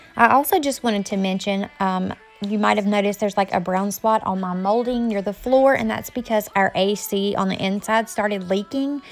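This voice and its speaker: Hardly pausing at all, the speaker moves at a fairly quick pace with ordinary pitch variation. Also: woman. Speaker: home vlogger. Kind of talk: casual vlog narration.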